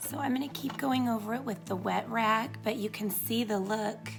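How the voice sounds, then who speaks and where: Music plays in the background as a woman talks. Her voice is fairly high and her pace moderate. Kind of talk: DIY tutorial narration. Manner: casual, friendly.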